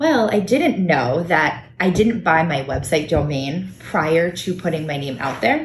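Over noticeable background noise, a woman with an American accent speaks at a fairly slow pace in a fairly low voice, with lively intonation and hardly any pauses. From Connecticut, Fairfield County (Norwalk). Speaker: small business owner. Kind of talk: casual chat. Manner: talkative.

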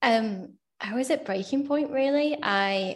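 The speaker has a Yorkshire accent. The background is quiet. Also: woman. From Sheffield, England. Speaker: solicitor. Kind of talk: casual interview.

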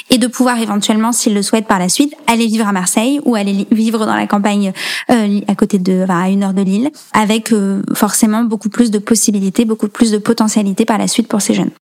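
The speaker talks at a fairly quick pace with fairly even intonation. There is noticeable background noise. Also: woman. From rural central France (Allier, Nièvre). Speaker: nonprofit founder. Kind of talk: interview.

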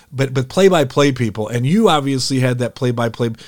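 In an American accent, a man with an unremarkable speaking voice talks at a fairly quick pace, his medium pitch showing ordinary variation. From Detroit, Michigan. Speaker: podcast host, former radio broadcaster. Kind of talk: interview podcast.

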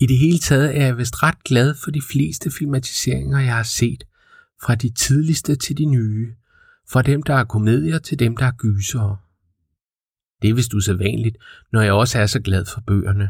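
A man speaks at a fairly slow pace in a somewhat breathy voice. His pitch varies in an ordinary way, on a very clean recording with a silent background. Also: medium pitch for a man. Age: 40s. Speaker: podcast host. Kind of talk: scripted narration.

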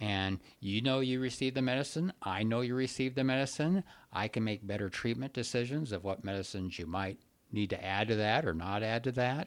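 This is an ordinary speaking voice at a fairly quick pace with ordinary pitch variation. The recording is very clean, with a silent background. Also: man, medium pitch for a man. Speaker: psychiatrist podcast host. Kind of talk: casual podcast conversation.

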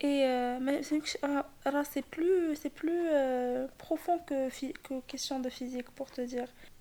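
A woman speaks very slowly at a high pitch, her intonation fairly even. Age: 20s. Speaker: photographer. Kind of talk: casual chat. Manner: halting.

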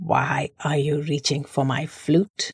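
A raspy, put-on character voice at a low-to-middle pitch moves along at a fairly slow pace. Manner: challenging, demanding.

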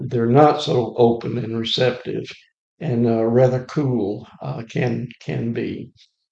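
Dark and mellow in tone, the voice moves at a very slow pace with fairly even intonation and an Alabama accent. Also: man. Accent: US Southern (Alabama). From Alabama, Lawrence County. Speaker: retired volunteer church evangelist. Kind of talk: casual interview.

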